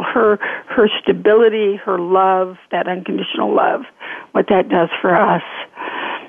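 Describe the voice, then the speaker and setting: A woman with an American accent and medium pitch speaks at a moderate pace in an unremarkable speaking voice. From Northern California. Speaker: author and spiritual healer. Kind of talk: interview.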